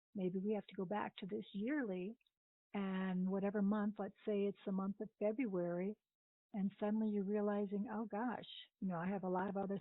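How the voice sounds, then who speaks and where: This woman has an ordinary speaking voice, medium in pitch, and talks at a moderate pace. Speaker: budget coach. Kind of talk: recorded training lecture.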